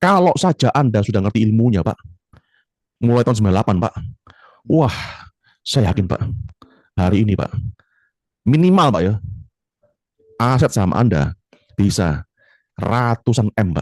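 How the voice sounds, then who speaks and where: A man speaks at a medium pitch and a moderate pace, with lively intonation and an animated tone. His loudness stays very even, broken by long, frequent pauses. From Surabaya, East Java. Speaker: trading coach. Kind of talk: casual chat.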